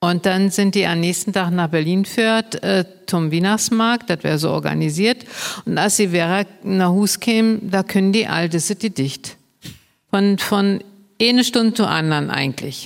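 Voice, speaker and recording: Using an unremarkable speaking voice, a woman at a medium pitch keeps a moderate pace, ordinary pitch variation, and very even loudness. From Brandenburg. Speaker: Low German advocate and cabaret artist. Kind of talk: casual chat.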